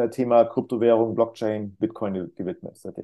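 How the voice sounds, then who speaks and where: A man's dark, mellow tone at a fairly quick pace. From Cologne area, western Germany. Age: 40s. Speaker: crypto mentor and financial advisor. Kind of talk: podcast interview. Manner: hesitant with fillers.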